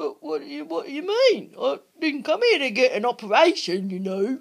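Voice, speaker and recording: A put-on character voice is pitched high. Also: moderate pace. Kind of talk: comedy skit dialogue.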